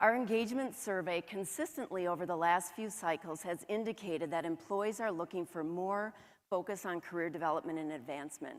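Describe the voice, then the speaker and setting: On a very clean recording with a silent background, a woman with a northern US accent speaks at a medium pitch and a fairly quick pace. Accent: northern US, flat O's and long A's. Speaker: HR director. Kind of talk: conference presentation.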